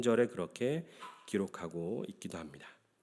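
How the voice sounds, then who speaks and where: A man's pitch rises and falls very widely in a very clean recording against a silent background. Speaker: pastor. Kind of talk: sermon.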